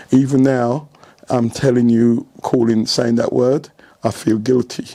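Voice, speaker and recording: A man speaks fairly slowly as noticeable background noise carries on around him. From England, born in Jamaica. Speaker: retired football coach. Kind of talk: interview. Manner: casual, with fillers.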